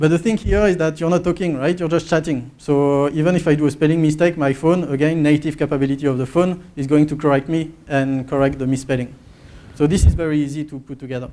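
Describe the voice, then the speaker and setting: A man's dark, mellow voice at a very fast pace, with fairly even intonation. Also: fairly high pitch for a man. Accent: French. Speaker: market research presenter. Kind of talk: conference presentation.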